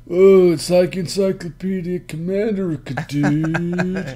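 A man puts on a character voice with a Californian accent, pitched high. He moves at a fairly slow pace with fairly even intonation. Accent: California surfer. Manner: laid-back, jokey.

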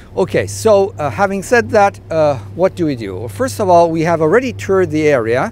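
A man at a fairly quick pace, with very wide pitch swings, a dry sound with no echo and music in the background. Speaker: sailing instructor. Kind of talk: tutorial. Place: boat. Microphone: lapel.

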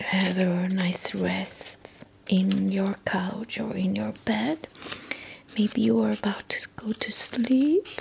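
The voice is soft-spoken and calm, moving at a very slow pace. Light background noise can be heard. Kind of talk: soft calm craft talk, ASMR-like. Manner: soft-spoken, calm ASMR voice. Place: home room. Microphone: camera far.

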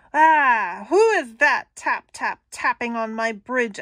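In a very clean recording with a silent background, a woman uses a high-pitched, put-on character voice at a fairly slow pace. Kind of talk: picture book read-aloud. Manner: menacing, greedy, blustering.

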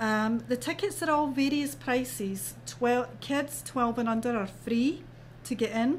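A woman with a Scottish accent at a moderate pace, with very even loudness, long, frequent pauses and light background noise. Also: lively intonation. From Scotland. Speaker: festival organizer. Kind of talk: interview. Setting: studio. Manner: animated. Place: studio.

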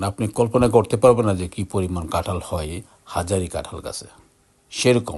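A man speaks at a fairly low pitch with ordinary pitch variation and a somewhat breathy quality. His loudness swings a great deal. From Bangladesh, Brahmanbaria. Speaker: video blogger. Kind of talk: casual vlog narration. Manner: halting.

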